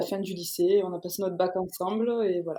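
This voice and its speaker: A woman of medium pitch speaks at a moderate pace in a dark, mellow tone with monotone, flat intonation. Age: 20s. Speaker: police officer, rally participant. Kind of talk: podcast interview.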